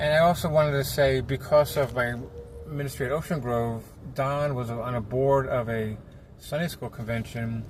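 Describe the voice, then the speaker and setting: A man talks at a moderate pace in a medium pitch with fairly even intonation. He has an ordinary speaking voice. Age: 60s. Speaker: children's ministry puppeteer. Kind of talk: casual vlog while driving. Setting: in a car.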